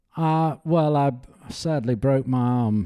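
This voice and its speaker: The man's tone is dark and mellow as he speaks at a fairly slow pace. The recording is very clean, with a silent background. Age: 70s. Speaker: professional golfer. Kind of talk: casual interview chat.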